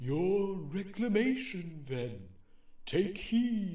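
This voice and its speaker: A soft-spoken man's put-on character voice, high in pitch and very slow, with a slight echo and light background noise. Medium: audio drama. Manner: calm, solemn.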